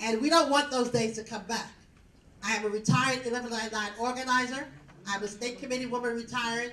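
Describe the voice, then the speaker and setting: Audible room echo surrounds a woman speaking at a fairly quick pace with a fairly high pitch. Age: 70s. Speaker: community advocate. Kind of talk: public hearing testimony.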